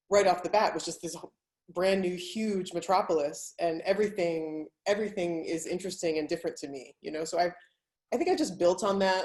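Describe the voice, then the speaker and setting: A woman speaks with an American accent in a plain, everyday voice, her pitch fairly low, her intonation fairly even and her pace fairly quick. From United States. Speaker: travel writer and blogger. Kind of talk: panel discussion. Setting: webinar video call.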